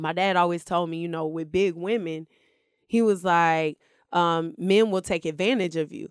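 A woman's fairly low voice at a moderate pace, with ordinary pitch variation, on a very clean recording with a silent background. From US South, Stone Mountain near Atlanta, Georgia. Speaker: reality TV contestant. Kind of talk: casual chat.

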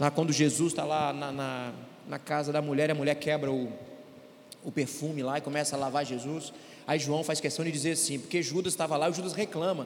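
A man's fairly high, monotone voice with flat intonation, at a fairly quick pace, with audible room echo. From Brazil, Governador Valadares (Minas Gerais). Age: 40s. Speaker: pastor and court clerk. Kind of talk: church panel discussion. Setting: church stage with audience.

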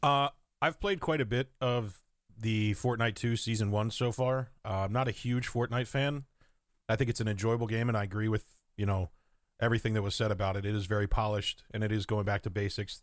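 A plain, everyday voice from a man at medium pitch, fairly quick pace, fairly even intonation and very even loudness, on a very clean recording with a silent background. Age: 30s. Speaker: gaming streamer. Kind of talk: casual chat.

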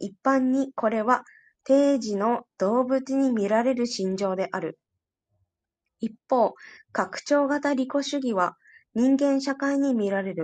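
A woman's high voice at a very slow pace, with ordinary pitch variation and a quiet background. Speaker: study group participant. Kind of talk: reading aloud. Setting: online audio room.

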